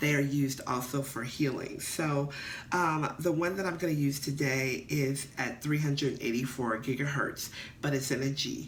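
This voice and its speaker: The speaker talks at a moderate pace in a relaxed tone with very even loudness. Intonation stays fairly even, and room echo is audible. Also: woman, very deep, low pitch for a woman. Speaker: spiritual card reader. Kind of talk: card reading vlog. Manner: mellow, relaxed.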